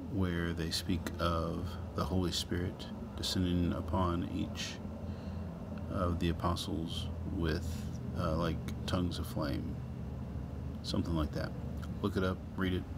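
Through loud background noise, a man speaks at a fairly slow pace with long, frequent pauses. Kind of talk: casual video outro and explanation.

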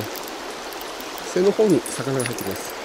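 The talking races at a very fast pace, with dry, echo-free sound and noticeable background noise. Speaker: angler vlogger. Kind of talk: casual vlog chat. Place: waterside. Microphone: phone near.

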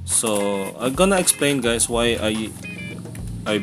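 Clear music plays behind a man as he speaks. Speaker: vlogger. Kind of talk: casual vlog chat. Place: home room. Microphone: phone near.

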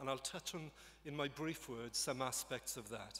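This voice is in a Welsh accent. It moves at a moderate pace. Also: man. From Wales. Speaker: government minister. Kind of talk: formal speech. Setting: stage with audience. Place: hall. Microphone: podium.

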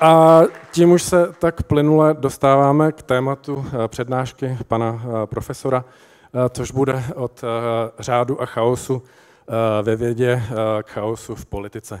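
A man with ordinary pitch variation and long, frequent pauses, against a quiet background. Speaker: event presenter. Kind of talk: speaker introduction. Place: stage. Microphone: handheld.

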